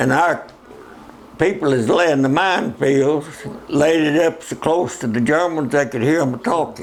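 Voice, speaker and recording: A man with a Southern US accent speaks at a fairly high pitch with ordinary pitch variation. His pace is fairly slow, and noticeable background noise sits behind him. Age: 80s+. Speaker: war veteran. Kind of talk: interview answer.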